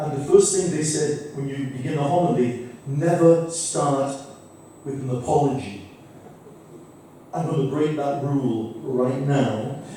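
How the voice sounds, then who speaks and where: A man speaks in a fairly high pitch at a fairly slow pace, with long, frequent pauses. Noticeable background noise and audible room echo fill the recording. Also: ordinary pitch variation. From Manchester, England. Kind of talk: conference talk. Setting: conference hall with audience. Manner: hesitant, many fillers.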